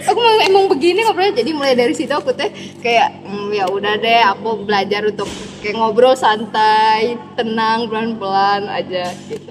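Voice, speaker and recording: Over noticeable background noise, a woman speaks loud and animated at a moderate pace, her pitch fairly high. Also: lively intonation. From Medan, North Sumatra, Indonesia. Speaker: university student. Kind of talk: casual chat.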